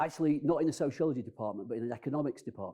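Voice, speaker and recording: The tone is dark and mellow. Pitch moves in an ordinary way. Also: man. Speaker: sociology professor introducing a lecture. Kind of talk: formal introduction at a lecture.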